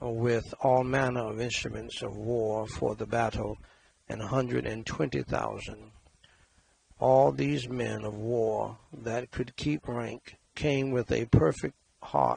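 A man's somewhat breathy voice at a very slow pace, with dry sound and no echo. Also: ordinary pitch variation. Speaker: scripture reader at a memorial prayer service. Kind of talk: scripture reading. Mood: solemn, measured. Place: studio. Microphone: headset.

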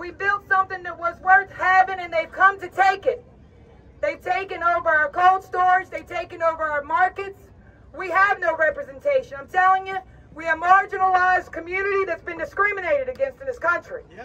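With an American accent, a woman uses a raised, projected voice at an extremely high pitch, talking at a fairly quick pace with lively intonation. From Louisiana, US Gulf Coast. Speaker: shrimping community activist. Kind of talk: impassioned protest rally speech from a prepared text. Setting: outdoors on capitol steps before a crowd. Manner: fiery, defiant and urgent, building to rhetorical questions; folksy, plainspoken delivery. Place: street. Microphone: camera far.

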